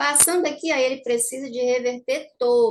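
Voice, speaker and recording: Her voice is high-pitched with lively intonation as this woman talks at a moderate pace. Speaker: trading teacher. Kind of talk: market analysis tutorial. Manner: casual, conversational.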